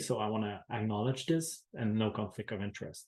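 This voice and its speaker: In a non-native accent, a man talks at a moderate pace with ordinary pitch variation. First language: French. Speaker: researcher. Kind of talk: webinar presentation. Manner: halting.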